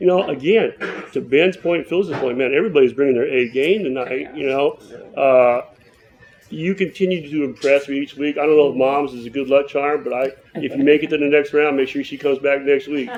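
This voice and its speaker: A man talks fairly quickly in a fairly high voice with ordinary pitch variation. Noticeable background noise is present throughout. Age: 60s. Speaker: poetry contest judge. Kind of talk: judge's critique.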